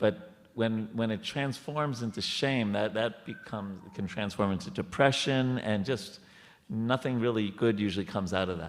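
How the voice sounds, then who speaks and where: In an American accent, a man speaks at a medium pitch. His pace is moderate and his intonation lively. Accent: New York accent, sometimes. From New York. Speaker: temple speaker. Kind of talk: spiritual discussion. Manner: halting.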